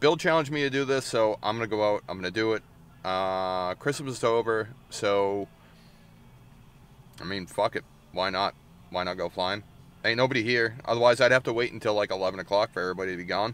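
A man talks at a fairly quick clip with ordinary pitch variation. The sound is dry, with no echo. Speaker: drone hobbyist vlogger. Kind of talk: casual vlog chat. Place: car. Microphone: phone near.

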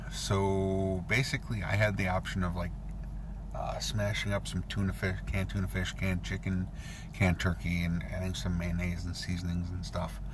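Over noticeable background noise, a man with a very deep, low pitch talks at a moderate pace in a dry sound with no echo. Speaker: vlogger. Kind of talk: casual vlog chat. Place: car. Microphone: phone near.

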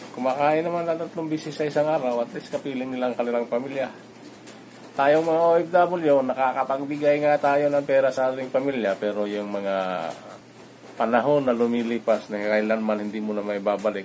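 Against light background noise, a man talks at a fairly quick pace with ordinary pitch variation. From Philippines. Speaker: overseas worker vlogger. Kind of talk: vlog monologue. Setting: at home. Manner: halting. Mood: reflective, calm. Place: home room. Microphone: phone near.

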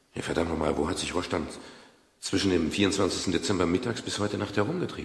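This put-on character voice moves at a fast pace with a husky, rough edge, vocal fry, and ordinary pitch variation. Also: man, low pitch for a man.

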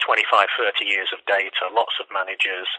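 The speaker has an East Midlands accent. The pace is moderate. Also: man. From Leicester, England. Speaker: economics professor. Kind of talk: interview answer. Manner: hesitant, uses filler words.

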